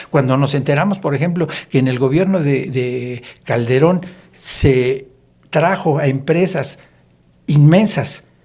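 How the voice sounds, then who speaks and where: A man with a fairly high pitch and a dark, mellow tone, somewhat breathy. He talks at a fairly slow pace with ordinary pitch variation and long, frequent pauses. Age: 70s. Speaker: politician. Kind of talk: podcast discussion.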